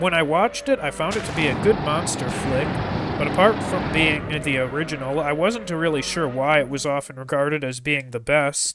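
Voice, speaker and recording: Music plays in the background as a man speaks at a moderate pace, his fairly high voice showing ordinary pitch variation. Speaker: Minecraft mod reviewer. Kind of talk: gameplay showcase narration.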